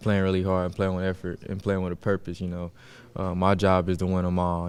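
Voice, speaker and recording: At a fairly quick pace, a man with a very deep, low pitch speaks in a monotone, flat intonation. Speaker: college football player. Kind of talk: press conference. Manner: soft-spoken.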